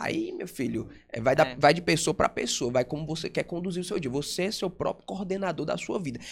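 A man speaks at a fairly quick pace. His pitch is high, with ordinary pitch variation. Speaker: radio and TV presenter. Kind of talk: casual interview chat.

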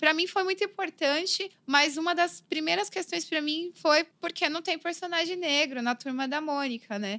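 A woman's raised, projected voice at an extremely high pitch, bright and sharp in tone, with lively intonation and a fairly slow pace. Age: 30s. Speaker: graffiti artist and illustrator. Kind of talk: casual interview. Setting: studio.

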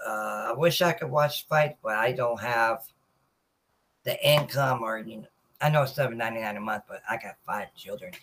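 With an American accent and a plain, everyday voice, a man talks at a moderate pace, with ordinary pitch variation and big swings in loudness. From Norfolk, Virginia. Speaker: sports podcast host. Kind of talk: casual livestream talk. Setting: live video stream.

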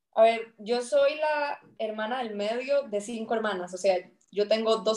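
Fairly high in pitch, this woman's voice is an unremarkable speaking voice with ordinary pitch variation. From Costa Rica, rural Esparza (Puntarenas). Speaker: natural resource manager and climate consultant. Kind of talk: interview conversation. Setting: podcast recording.

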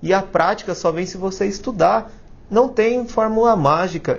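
The speaker is a man. His pace is fairly slow. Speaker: YouTube tech career host. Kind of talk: casual educational monologue. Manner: animated.

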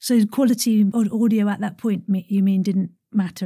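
A woman speaks at medium pitch in a dark, mellow, somewhat breathy tone. The recording is very clean, with a silent background. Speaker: podcast host. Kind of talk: casual interview chat. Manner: animated.

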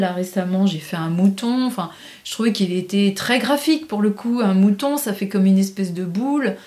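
A woman talks at a medium pitch. Noticeable background noise is present. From rural France. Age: 50s. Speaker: painter and graphic designer. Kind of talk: casual interview.

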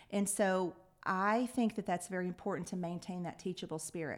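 In a Texan accent, a woman speaks at a fairly quick pace and medium pitch with ordinary pitch variation, on a very clean recording with a silent background. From Lubbock, West Texas. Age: 50s. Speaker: nonprofit CEO. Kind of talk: interview.

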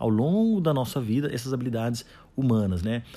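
With a dark, mellow tone and a somewhat breathy quality, a man speaks at a moderate pace in a medium pitch with lively intonation. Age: 40s. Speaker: podcaster on soft skills and coaching. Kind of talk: solo podcast monologue. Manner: hesitant, many fillers.

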